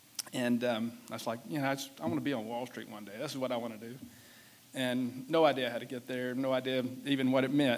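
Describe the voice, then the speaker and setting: Very fast speech in a Southern US accent, with fairly even intonation and big swings in loudness. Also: man, medium pitch for a man. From US South. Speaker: business executive. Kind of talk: keynote speech. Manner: casual, halting with fillers.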